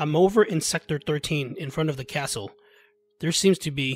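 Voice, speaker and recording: A man does a put-on character voice, raspy and fairly high in pitch, at a moderate pace, recorded dry and close with no echo, with faint music in the background. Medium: read story. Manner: terse radio jargon.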